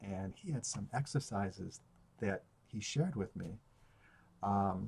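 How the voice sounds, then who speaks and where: A man talks at a fairly slow pace. His fairly low voice is somewhat breathy. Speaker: stutterer. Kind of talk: video journal talk to camera. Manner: hesitant, with many fillers.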